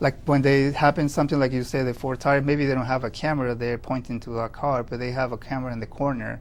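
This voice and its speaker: The speaker talks at a very fast pace with hardly any pauses, in a Spanish accent. The intonation stays monotone and flat. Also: man, medium pitch for a man. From Peru. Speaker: security system installer and business owner. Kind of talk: interview. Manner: halting.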